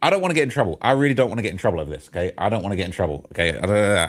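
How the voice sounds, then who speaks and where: Vocal fry runs through this man's voice, captured in a very clean recording with a silent background. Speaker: streamer discussing celebrity news. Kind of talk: live stream commentary reading comments. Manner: stuttering, jittery.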